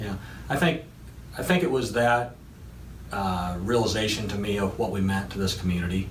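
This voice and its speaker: Over noticeable background noise and audible room echo, a man with a fairly low pitch speaks at a moderate pace with ordinary pitch variation and long, frequent pauses. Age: 60s. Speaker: construction company CEO. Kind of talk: interview.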